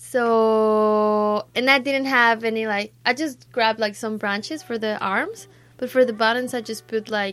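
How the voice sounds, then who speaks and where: A woman speaks fairly slowly in a fairly high pitch with fairly even intonation. The recording is very clean, with a silent background. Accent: Spanish. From Mexico. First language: Spanish. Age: 20s. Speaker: student. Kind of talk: casual chat.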